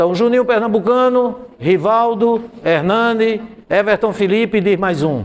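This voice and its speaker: The man has a high-pitched voice. His pitch varies in an ordinary way. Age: 60s. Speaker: math teacher. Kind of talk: classroom lecture.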